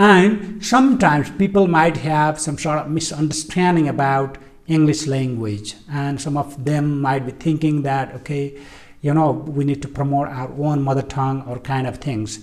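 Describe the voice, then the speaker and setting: Speaking with a Nepali accent, a man has a fairly high pitch. His pace is moderate, with ordinary pitch variation. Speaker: English teacher. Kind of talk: educational talk. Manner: halting, frequent fillers.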